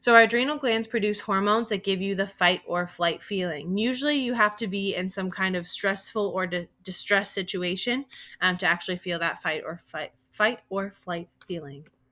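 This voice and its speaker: On a very clean recording with a silent background, a woman with an American accent speaks with hardly any pauses, in a bright, sharp tone at a medium pitch with ordinary pitch variation. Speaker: teacher. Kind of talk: recorded lesson. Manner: fast.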